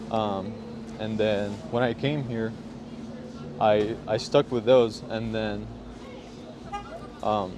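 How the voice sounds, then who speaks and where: Through noticeable background noise, a man of medium pitch speaks with fairly even intonation and long, frequent pauses. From Syria. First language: Arabic. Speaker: hip hop producer. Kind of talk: casual interview chat. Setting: outdoors on the street.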